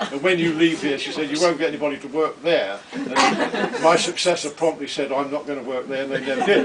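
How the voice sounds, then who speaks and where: Noticeable background noise sits behind speech delivered at a fairly quick pace. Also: man. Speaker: retired hospital administrator, parent speaking at family event. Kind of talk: speech at a family celebration. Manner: halting.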